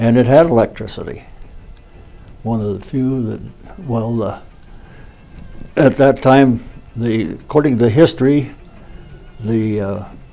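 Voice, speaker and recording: Over music in the background, a man with an American accent speaks at a fairly slow pace and medium pitch, with ordinary pitch variation and long, frequent pauses. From Ovid, Colorado. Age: 80s+. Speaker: local resident. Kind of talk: interview reminiscence.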